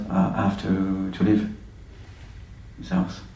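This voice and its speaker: Amid audible room echo, a man with a French accent speaks at a fairly low pitch. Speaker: film director. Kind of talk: festival Q&A interview. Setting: stage with audience. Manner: halting.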